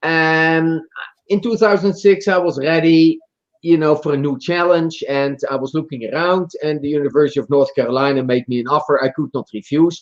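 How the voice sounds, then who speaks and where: A voice with a Dutch accent at a moderate pace, showing ordinary pitch variation. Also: man, fairly high pitch for a man. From Netherlands. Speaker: marketing professor and author. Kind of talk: podcast interview. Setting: live stream.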